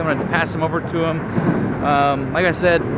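A man talking at a very fast pace over loud background noise, the sound dry with no echo. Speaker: river diver vlogger. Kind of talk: casual vlog chat. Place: waterside. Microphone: phone near.

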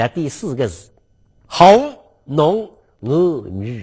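Against a quiet background, a man with a fairly high voice talks at a very slow pace, his pitch swinging very widely. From Suzhou, China; China. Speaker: lecturer on local history. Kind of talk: lecture. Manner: animated. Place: studio. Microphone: lapel.

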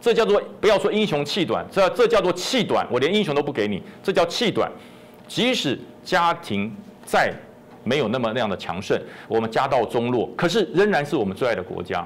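Pitch swinging very widely, a man talks at a fairly quick pace. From Taiwan. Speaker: retired army general; guest. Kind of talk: political talk show commentary. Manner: animated. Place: studio. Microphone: lapel.

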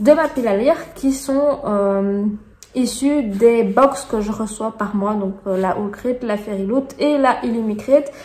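A woman speaks with a Belgian accent at a fairly high pitch and a very slow pace. Noticeable background noise runs underneath. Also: ordinary pitch variation. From Belgium. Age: 30s. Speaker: booktuber. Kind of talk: casual talk to camera.

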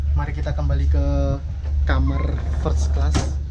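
A man talks at a moderate pace. Loud background noise is present. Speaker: travel vlogger. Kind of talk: casual vlog chat. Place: train. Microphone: phone near.

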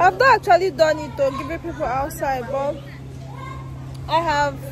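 A woman with a dry sound and no echo, crowd noise in the background. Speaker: vlogger. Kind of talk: casual vlog chat. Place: street. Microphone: phone near.

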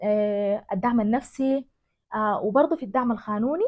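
Speaking in a Sudanese accent at a moderate pace, a woman uses a high pitch with ordinary pitch variation over a quiet background. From West Darfur, Sudan. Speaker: journalist and women's organization director. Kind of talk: interview answer. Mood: earnest, reflective. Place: home room.

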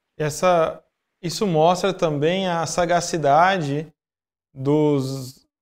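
The man's voice sits fairly high, with ordinary pitch variation. Behind him the background stays quiet. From Brazil. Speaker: podcast host and Umbanda practitioner; podcast host. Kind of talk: interview. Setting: live stream. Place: home room.

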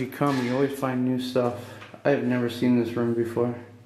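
A man's moderately paced speech carries audible room echo and light background noise. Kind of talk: casual exploration commentary. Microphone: phone near.

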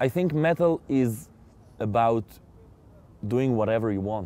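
Speaking in an Israeli accent, a man uses a fairly low pitch and a dark, mellow tone at a moderate pace, with ordinary pitch variation and dry sound with no echo. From Israel, Jaffa. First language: Hebrew. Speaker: metal singer; interviewee. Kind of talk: interview. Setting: outdoors. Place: open country.

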